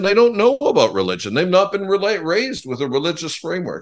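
This man's voice carries vocal fry. Everything around him is quiet. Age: 50s. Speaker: think tank executive. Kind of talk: interview.

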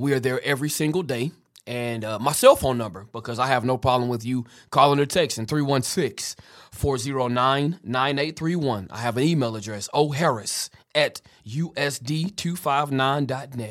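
Recorded very cleanly against a silent background, a man with an American accent speaks in an ordinary speaking voice at a moderate pace, with medium pitch and ordinary pitch variation. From Kansas. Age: 30s. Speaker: pastor. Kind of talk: casual interview.

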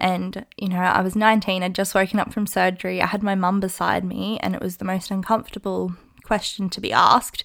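Speaking with an Australian accent, a woman goes at a fairly quick pace with hardly any pauses, her medium-pitched voice monotone and flat. The recording is very clean, with a silent background. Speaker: podcast host. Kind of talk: personal testimony monologue.

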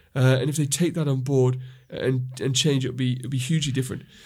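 A man with a somewhat breathy, medium-pitched voice speaks at a very fast pace. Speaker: podcast co-host, chiropractor. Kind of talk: casual chat. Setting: studio. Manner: animated.

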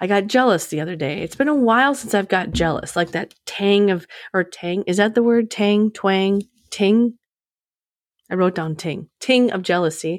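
The recording is very clean, with a silent background. A woman of medium pitch speaks at a moderate pace with ordinary pitch variation. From US Midwest. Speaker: podcast host, teacher. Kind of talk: solo podcast monologue.

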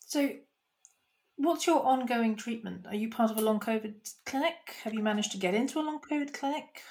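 Speaking at a fairly quick pace with long, frequent pauses, a woman with a fairly high pitch shows ordinary pitch variation. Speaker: podcast host. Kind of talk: casual interview.

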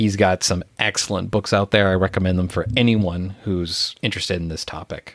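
A man with a very deep, low pitch speaks at a moderate pace. The sound is dry and close, with no echo. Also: fairly even intonation, hardly any pauses. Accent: American. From rural US. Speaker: pharmacist and career coach. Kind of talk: casual chat.

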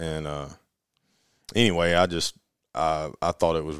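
A man with an Alabama accent, very deep low pitch, flat monotone delivery, moderate pace, and a very clean recording with a silent background. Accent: Southern US (Alabama). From Alabama, US South. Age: 20s. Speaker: duck hunter and dog trainer. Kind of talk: casual chat.

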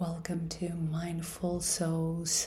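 The words come out very slowly. Behind them, background noise is noticeable. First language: Portuguese. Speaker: meditation teacher. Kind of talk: guided meditation.

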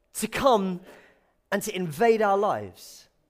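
The speaker has a southern English accent. The pace is fairly slow. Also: man. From England, Milton Keynes. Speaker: youth pastor. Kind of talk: sermon. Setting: church.

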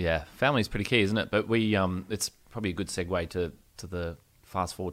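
A man with an Australian accent and fairly even intonation on a very clean recording with a silent background. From Australia, Gold Coast. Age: 40s. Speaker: property negotiator. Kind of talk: interview.

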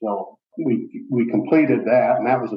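With music in the background, a man with an American accent speaks at medium pitch and a moderate pace with fairly even intonation. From northwest Ohio, US Midwest. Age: 60s. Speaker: village administrator. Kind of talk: interview. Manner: halting.

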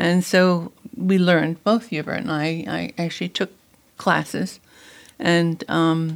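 A woman with a New Jersey accent talks at a fairly low pitch, her pitch varying in an ordinary way. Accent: New Jersey American. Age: 80s+. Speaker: retired catechism teacher. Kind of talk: interview. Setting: studio.

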